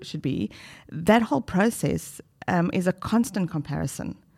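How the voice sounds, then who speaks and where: At a moderate pace and medium pitch, a woman speaks in a normal speaking voice. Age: 50s. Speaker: retired doctor turned life coach. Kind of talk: casual chat.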